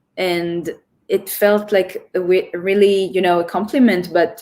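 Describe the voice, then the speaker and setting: A woman talks at a moderate pace in an Israeli accent. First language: Hebrew. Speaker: choreographer. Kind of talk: interview.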